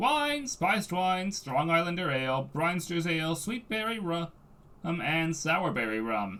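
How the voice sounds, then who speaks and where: A man puts on a character voice pitched high. He goes at a fairly slow pace over light background noise. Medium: read story. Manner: gruff, folksy.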